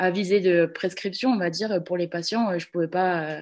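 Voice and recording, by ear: A woman's fairly low voice, slightly mellow in tone, with ordinary pitch variation and a moderate pace.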